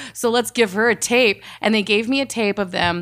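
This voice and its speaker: A normal speaking voice with an American accent talks at a moderate pace, its intonation fairly even. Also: woman. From Texas. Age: 30s. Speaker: reality casting producer. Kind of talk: casual interview.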